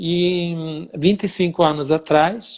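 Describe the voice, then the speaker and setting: This is a man's voice. He speaks with an Italian accent. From Italy (Sicily). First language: Italian (speaking Portuguese). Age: 60s. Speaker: dance teacher. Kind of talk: interview.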